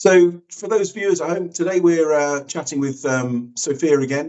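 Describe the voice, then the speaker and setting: A man uses a normal speaking voice at a moderate pace with ordinary pitch variation. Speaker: artist, host. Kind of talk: casual interview host talk.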